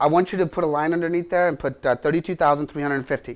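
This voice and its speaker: A man's fairly high-pitched voice at a very fast pace, with fairly even intonation and a quiet background. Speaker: real estate instructor. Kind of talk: lecture.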